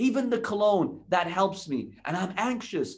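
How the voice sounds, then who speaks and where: Lively intonation colors a man's fairly slowly paced speech. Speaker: religious lecturer. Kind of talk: sermon.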